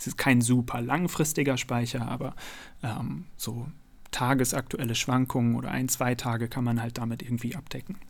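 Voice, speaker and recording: On a very clean recording with a silent background, a plain, everyday voice speaks at a moderate pace with fairly even intonation. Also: man, medium pitch for a man. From Münster, North Rhine-Westphalia, Germany. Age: 30s. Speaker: science communicator and YouTuber. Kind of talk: interview.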